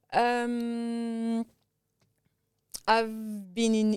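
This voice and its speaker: A woman speaks with a strong French accent. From France. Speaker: tech entrepreneur. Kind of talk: interview. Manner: halting.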